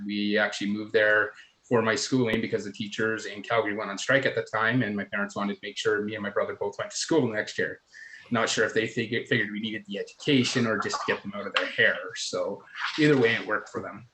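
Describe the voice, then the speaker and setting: Very fast speech from a man, with noticeable background noise. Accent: Canadian. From southern Alberta, Canada. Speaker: council candidate. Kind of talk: candidate forum introduction speech.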